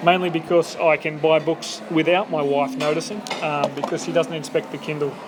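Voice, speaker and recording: A man with an Australian accent, fairly high in pitch, talking at a fairly quick pace with fairly even intonation over noticeable background noise. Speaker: podcast host. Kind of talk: casual interview chat. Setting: bar over coffee.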